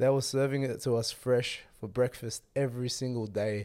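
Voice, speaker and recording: A man with an Australian accent, medium pitch, a dark, mellow tone, fairly even intonation and a fairly slow pace. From Australia, Western Sydney. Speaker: podcast host. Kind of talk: solo travel vlog talk.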